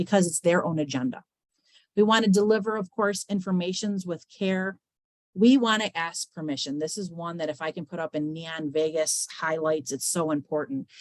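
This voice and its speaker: Speaking at a moderate pace, a woman uses a fairly low pitch and lively intonation. The sound is dry and close, with no echo. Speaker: webinar presenter on mental health. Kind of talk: webinar presentation. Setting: online webinar. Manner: talkative.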